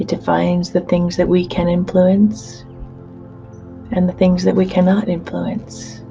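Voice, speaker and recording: Over music in the background, a woman speaks in a soothing tone at a fairly slow pace. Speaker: hypnotherapist. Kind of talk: guided hypnosis session. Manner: slow, soothing.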